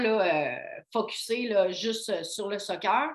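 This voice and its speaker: The speaker is a woman. Her pitch is fairly high. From Quebec, Côte-Nord (Baie-Comeau). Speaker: physiotherapist. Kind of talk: casual interview.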